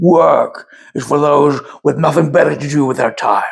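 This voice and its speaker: A man's put-on character voice, raspy and fairly high, at a moderate pace. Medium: read story. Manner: gruff, rude, irritable.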